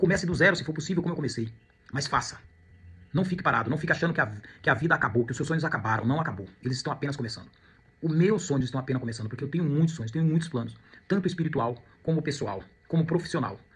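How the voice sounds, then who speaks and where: A man with a fairly high pitch talks at a very fast pace with lively intonation, broken by long, frequent pauses. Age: 50s. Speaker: real estate agent and student. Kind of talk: personal testimony monologue. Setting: at home. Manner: reflective, with hesitations and repetitions.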